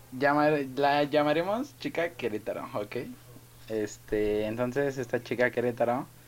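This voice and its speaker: A man talks at a medium pitch with a Mexican accent. His pace is fairly slow. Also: ordinary pitch variation. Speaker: student, podcast co-host. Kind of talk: casual chat.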